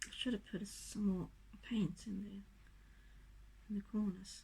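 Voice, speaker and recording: There is vocal fry in this woman's medium-pitched voice. She speaks at a moderate pace with fairly even intonation. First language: not English. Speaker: acrylic pour artist. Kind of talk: tutorial demonstration. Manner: casual, halting.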